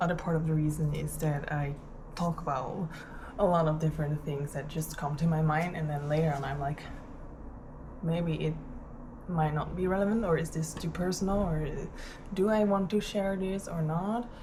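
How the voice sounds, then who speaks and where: A woman's very deep, low voice with ordinary pitch variation and long, frequent pauses, plus audible room echo and noticeable background noise. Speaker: vlogger. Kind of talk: casual vlog monologue. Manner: slow; halting, many fillers.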